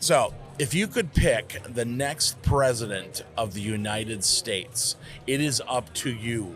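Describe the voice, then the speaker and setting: A man's medium-pitched voice with ordinary pitch variation, at a fairly slow pace, with music in the background. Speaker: podcast interviewer. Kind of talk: casual interview conversation.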